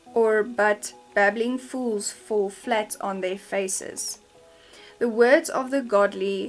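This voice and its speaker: A woman's fairly high voice at a very slow pace, with ordinary pitch variation, a South African accent and music in the background. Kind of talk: scripture reading.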